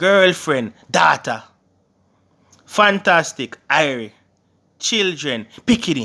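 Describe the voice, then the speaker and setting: In a very clean recording with a silent background, a man with a Jamaican accent speaks very slowly in a high, bright, sharp voice with very wide pitch swings. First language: Jamaican Patois. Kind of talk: casual language tutorial to camera.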